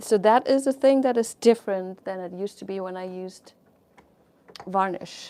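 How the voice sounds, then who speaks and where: A woman with a non-native accent speaks at medium pitch in a dark, mellow tone, with ordinary pitch variation. Her pace is moderate, and her loudness swings widely. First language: not English. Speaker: fluid art painter and teacher. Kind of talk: live painting tutorial and chat. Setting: livestream. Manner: casual, chatty with hesitations.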